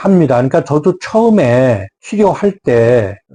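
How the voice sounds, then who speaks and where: At a very slow pace, a man with a dark, mellow tone speaks at a fairly high pitch with very wide pitch swings. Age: 70s. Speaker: doctor of Korean medicine. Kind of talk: health talk. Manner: formal; hesitant with fillers.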